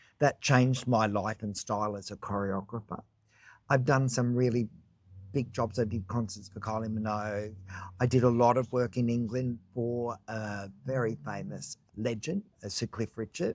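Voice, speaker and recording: Ordinary pitch variation and a medium pitch come from a man with an Australian accent speaking at a moderate pace. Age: 60s. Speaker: choreographer and cookie business owner. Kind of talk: casual interview chat.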